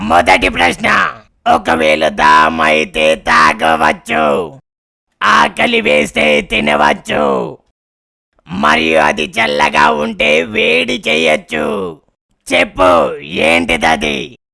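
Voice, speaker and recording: A man shouts in a cartoonish character voice, raspy and very deep in pitch. He drags the words out at a very slow pace. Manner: commanding, boastful.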